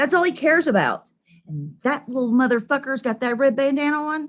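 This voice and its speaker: Using an animated tone and lively intonation, a woman with a high voice speaks in a Southern Appalachian accent. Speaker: live streamer, political commentator. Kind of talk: casual live stream rant.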